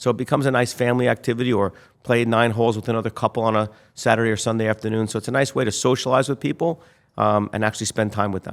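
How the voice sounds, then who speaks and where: Very clean and recorded against a silent background, this voice with an American accent moves at a very fast pace with fairly even intonation. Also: man, medium pitch for a man. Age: 60s. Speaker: real estate developer. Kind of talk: interview. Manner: casual.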